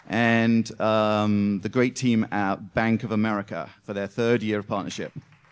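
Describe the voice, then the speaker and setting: A man's fairly low, monotone, flat voice in a British accent, at a fairly slow pace. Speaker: event MC and startup investor. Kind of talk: event MC welcome speech. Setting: stage with live audience. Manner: filler-heavy, frequent ums.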